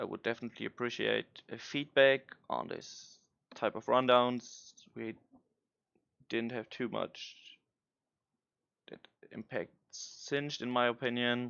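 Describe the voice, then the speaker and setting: Speaking with a non-native accent, a man talks at a fairly slow pace and medium pitch in a monotone, flat intonation, with big swings in loudness and long, frequent pauses. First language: not English. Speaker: gaming content creator. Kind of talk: commentary on game patch notes. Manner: halting.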